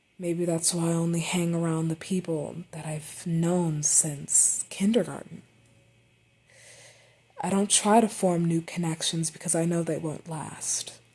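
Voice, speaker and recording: The voice is dark, mellow and somewhat breathy, moving at a fairly slow pace with monotone, flat intonation. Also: woman, fairly low pitch for a woman. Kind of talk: unscripted personal monologue.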